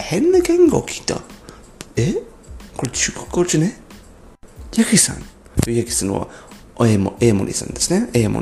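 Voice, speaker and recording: Over noticeable background noise, a man speaks at a moderate pace. He leaves long, frequent pauses. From abroad, non-Japanese. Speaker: podcaster. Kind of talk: solo podcast monologue. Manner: halting.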